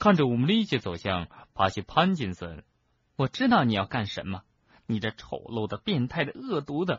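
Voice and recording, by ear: The background stays quiet as the speaker reads aloud in a natural voice.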